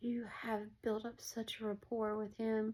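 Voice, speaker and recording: Fairly high-pitched woman's voice, dark and mellow in tone, monotone and flat in intonation, at a moderate pace. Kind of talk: casual spiritual encouragement talk. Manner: casual, conversational.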